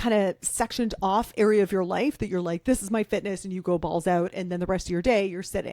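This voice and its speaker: With hardly any pauses and at a very fast pace, a woman speaks at medium pitch in a dark, mellow tone, on a very clean recording with a silent background and a dry, close sound with no echo. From Canada. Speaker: author and fitness expert. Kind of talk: podcast interview. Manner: casual, energetic.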